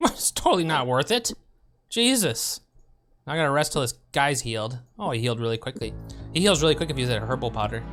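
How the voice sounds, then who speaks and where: Music plays in the background as the words come at a very fast pace. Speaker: streamer. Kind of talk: casual gameplay commentary.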